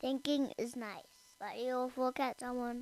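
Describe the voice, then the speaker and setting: A man in a put-on character voice speaks fairly slowly at an extremely high pitch, his intonation monotone and flat. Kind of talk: bedtime story character voice. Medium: read story. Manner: worried, hesitant.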